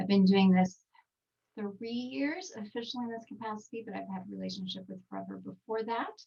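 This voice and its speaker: A somewhat breathy woman with a Texan accent. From Texas. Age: 40s. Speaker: skincare trainer. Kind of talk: webinar presentation. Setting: video call from home recording studio.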